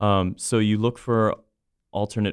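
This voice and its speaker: Speaking with an American accent, a man talks at a moderate pace in a monotone, flat intonation. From Central Florida. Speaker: opera company director. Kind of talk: casual chat.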